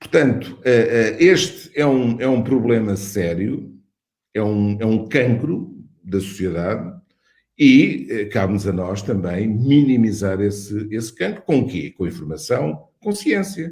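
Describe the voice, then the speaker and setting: A man with a medium pitch speaks fairly slowly, somewhat breathy, with lively intonation. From Portugal. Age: 60s. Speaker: cardiologist and medical school dean. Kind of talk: interview. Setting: online webinar. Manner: halting, many repetitions and fillers.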